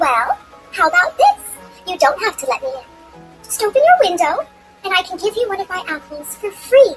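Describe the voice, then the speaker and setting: Faint music plays behind a woman doing a put-on character voice. Her pitch is extremely high and her pace moderate. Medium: read story. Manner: wheedling, sly.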